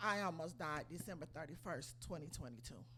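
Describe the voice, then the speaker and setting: A woman speaks at a moderate pace with vocal fry, and audible room echo surrounds her voice. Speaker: lay church speaker giving inspirational message. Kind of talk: inspirational church talk with testimony. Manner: quiet.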